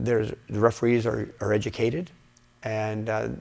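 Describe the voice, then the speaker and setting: A man's fairly low voice with vocal fry, at a moderate pace. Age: 60s. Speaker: karate instructor and former professional fighter. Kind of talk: interview. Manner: halting, many fillers and repeats.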